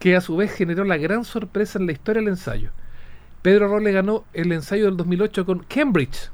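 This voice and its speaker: A man with a high pitch and ordinary pitch variation, at a moderate pace. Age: 40s. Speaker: horse racing journalist. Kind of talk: casual interview.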